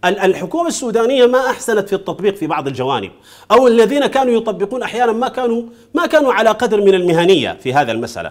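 A man speaks very fast in a high voice, his pitch swinging very widely over a quiet background. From Sudan. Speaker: Islamic scholar and political movement leader; guest. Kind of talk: TV studio interview. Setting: TV studio. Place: studio. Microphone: lapel.

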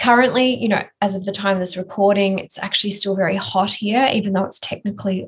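The voice is somewhat breathy. It has an Australian accent. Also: woman. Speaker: building biologist and podcast co-host; podcast co-host. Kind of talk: casual educational chat. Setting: remote recording with sketchy internet. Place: office.

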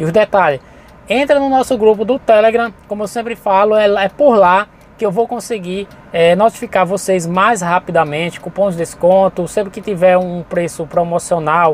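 A man with a Brazilian accent, high-pitched for a man, with ordinary pitch variation, a moderate pace, and a dry sound without echo. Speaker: channel host and import reseller. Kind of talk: sales pitch, urgent promo patter pushing launch deals and coupons. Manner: informal, improvised, chatty, with frequent 'gente' and 'galera'. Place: car.

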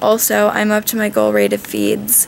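A woman's tired tone comes through over light background noise. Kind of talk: casual vlog chat. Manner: weak, tired, subdued patient voice. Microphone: phone near.

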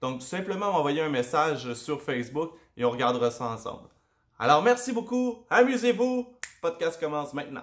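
Over a quiet background, a man talks at a moderate pace in a fairly high pitch with very wide pitch swings. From Quebec. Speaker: podcast host. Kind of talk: casual interview; casual vlog chat. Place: home room. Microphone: webcam.

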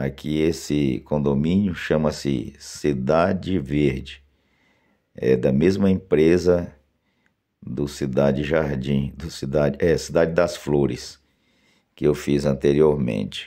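A man's very deep, low voice, dark and mellow in tone, with fairly even intonation, a very slow pace and long, frequent pauses. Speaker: video channel host promoting a social club. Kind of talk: sales pitch, outdoor video tour. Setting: outdoors, filming on site with drone.

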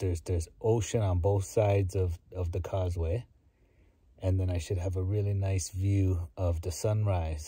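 This man's very deep, low voice has a dark, mellow tone, is somewhat breathy and fairly even in intonation, and sounds dry with no echo. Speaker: car camper vlogger. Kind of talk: casual vlog chat. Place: car. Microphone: phone near.

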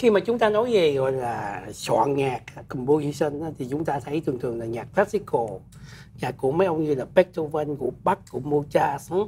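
The speech moves at a moderate pace with very wide pitch swings over light background noise. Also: man. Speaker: talk show host. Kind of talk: interview talk. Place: studio. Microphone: lapel.

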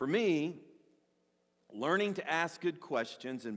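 A man at a fairly slow pace with lively intonation, over a quiet background. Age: 60s. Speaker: pastor. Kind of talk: sermon. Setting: church. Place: church.

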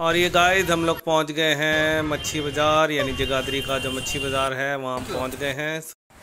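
Against clear background noise, the speaker talks at a moderate pace with little pitch movement. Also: man, fairly high pitch for a man.

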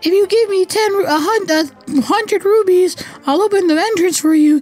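A man's put-on character voice, extremely high-pitched, delivered fairly slowly.

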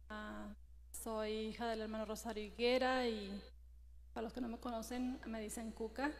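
Long, frequent pauses mark a woman's speech, heard with audible room echo and noticeable background noise. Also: moderate pace. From Mexico, Sinaloa. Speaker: churchgoer. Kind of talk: church greeting. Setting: church. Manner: halting.

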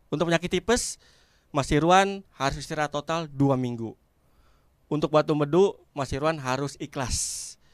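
This is a man with a normal speaking voice, fairly high pitched and at a moderate pace. The very clean recording has a silent background and a dry, close sound with no echo. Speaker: stand-up comedian. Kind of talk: stand-up comedy set. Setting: stage with audience. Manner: deadpan storytelling, acting out dialogues with doctor, punchline-driven.

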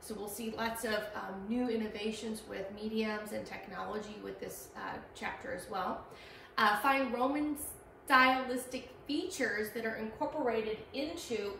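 A woman at a moderate pace with ordinary pitch variation, audible room echo and light background noise. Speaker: art history instructor. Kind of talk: lecture. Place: classroom. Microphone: camera far.

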